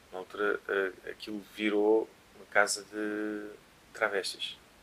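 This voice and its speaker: Speaking at a fairly slow pace in a fairly low pitch, a man leaves long, frequent pauses and swings widely in loudness. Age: 30s. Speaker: DJ and musician. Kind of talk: casual chat. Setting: at home.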